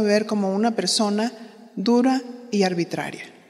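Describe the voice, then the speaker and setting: Ordinary pitch variation at a moderate pace from a woman with a fairly high voice. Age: 60s. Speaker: pastor's wife and women's ministry teacher. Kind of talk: sermon.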